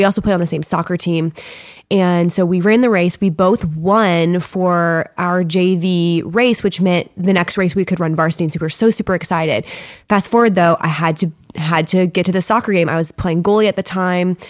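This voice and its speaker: A woman has an ordinary speaking voice, fairly low in pitch, with fairly even intonation. The recording is very clean and the background silent. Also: moderate pace, very even loudness. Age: 30s. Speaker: yoga teacher. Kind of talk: casual chat.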